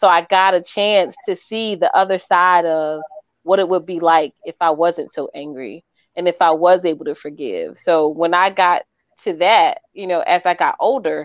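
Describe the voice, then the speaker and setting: Using an ordinary speaking voice, a woman talks at a moderate pace with a fairly low pitch and fairly even intonation. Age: 40s. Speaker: life coach. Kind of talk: casual chat.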